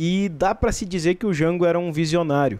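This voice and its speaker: Against a quiet background, the speaker talks at a fairly slow pace in a southern Brazilian accent. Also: man. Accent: gaúcho Brazilian Portuguese. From São Borja, Rio Grande do Sul; Rio Grande do Sul, Brazil. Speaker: state government official; interview guest. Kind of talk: broadcast interview. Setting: studio. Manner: halting. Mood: calm, explanatory about history. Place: studio. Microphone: studio mic.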